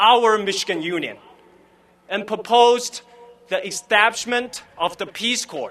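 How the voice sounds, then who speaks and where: Speaking in a raised, projected voice with a Chinese accent, a man keeps a high pitch, a bright, sharp tone and ordinary pitch variation at a fairly slow pace. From Fuzhou, China. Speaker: graduating student. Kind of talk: commencement speech.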